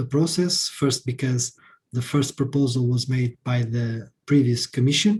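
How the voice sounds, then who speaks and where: A man with a dark, mellow tone, somewhat breathy, at medium pitch, with ordinary pitch variation and a moderate pace. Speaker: member of European Parliament. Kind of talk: panel talk.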